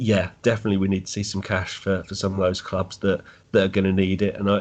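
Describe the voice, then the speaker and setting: Speaking very fast in a monotone with flat intonation, a man with an English accent and a fairly low pitch is heard over a quiet background. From England. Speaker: football fan. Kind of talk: podcast interview.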